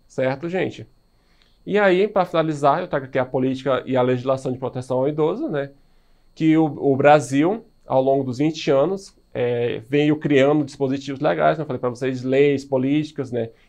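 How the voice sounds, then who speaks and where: Against a quiet background, a man speaks at a fairly high pitch with ordinary pitch variation in a plain, everyday voice. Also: moderate pace. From Brazil. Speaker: high school biology teacher; biology teacher. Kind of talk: recorded video lecture. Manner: casual, filler-heavy (né, certo). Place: studio.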